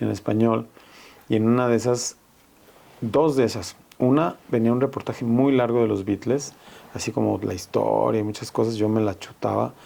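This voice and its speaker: With long, frequent pauses, a man of medium pitch speaks at a moderate pace and with fairly even intonation. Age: 60s. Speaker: veteran rock musician and music teacher. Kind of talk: casual chat.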